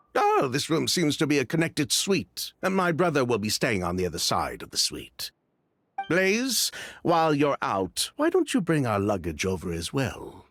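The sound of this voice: Using a put-on character voice, a man talks at a moderate pace. His tone is fairly bright, with very wide pitch swings. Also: medium pitch for a man, very clean recording, silent background.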